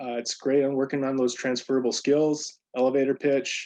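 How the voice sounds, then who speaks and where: This is a man's voice. His intonation is monotone and flat. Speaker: program staff presenter, military veteran. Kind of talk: virtual presentation. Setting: video call. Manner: fast.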